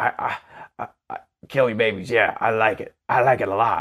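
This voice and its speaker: In a put-on character voice at a medium pitch, a man speaks at a moderate pace, with hissing audible. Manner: evil, menacing.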